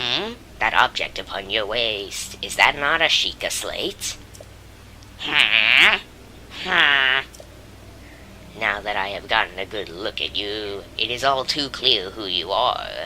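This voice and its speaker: In a put-on character voice pitched low, the speaker goes at a fairly slow pace with long, frequent pauses over clear background noise. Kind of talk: regal, formal speech. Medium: game stream. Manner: grand, warm, formal.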